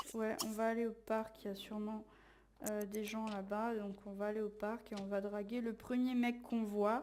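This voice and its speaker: The delivery is monotone with flat intonation, moving at a moderate pace. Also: woman, fairly high pitch for a woman. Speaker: let's play gamer. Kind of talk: casual gameplay commentary.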